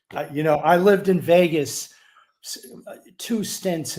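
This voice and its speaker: A man with a New York accent, a dark, mellow tone, ordinary pitch variation, and a very slow pace. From New York City. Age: 60s. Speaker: sports betting handicapper. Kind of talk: interview.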